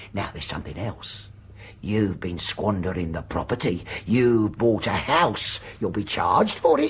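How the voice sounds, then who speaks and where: Putting on a character voice, a man speaks at a fairly low pitch and a moderate pace with lively intonation. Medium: audio drama. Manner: bullying, pompous, overbearing.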